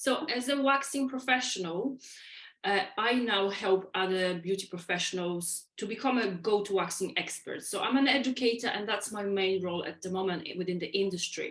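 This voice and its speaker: Mid-pitched female speech at a moderate tempo, its pitch varying normally. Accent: Polish. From Poland. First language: Polish. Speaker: waxing educator. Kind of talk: podcast interview.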